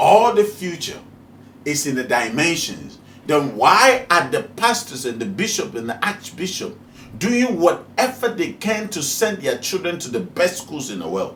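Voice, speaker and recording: Pitched high, a man speaks at a fairly slow pace with very wide pitch swings, and room echo can be heard. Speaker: spiritual teacher, video host. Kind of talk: preaching monologue. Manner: animated, rhetorical questioning.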